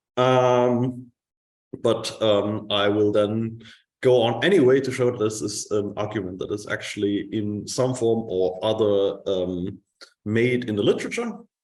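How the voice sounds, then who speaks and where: A man speaks at a fairly slow pace, his pitch medium. His intonation is fairly even, and audible room echo surrounds the voice. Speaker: conference speaker. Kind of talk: academic conference talk. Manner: hesitant, many fillers.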